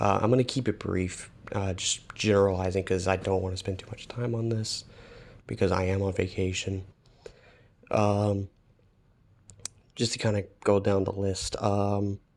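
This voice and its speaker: Soft-spoken and fairly low in pitch, a man talks at a moderate pace in a monotone, flat intonation, with long, frequent pauses. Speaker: gaming video commentator. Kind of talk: casual commentary. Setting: echoey vacation room. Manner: halting.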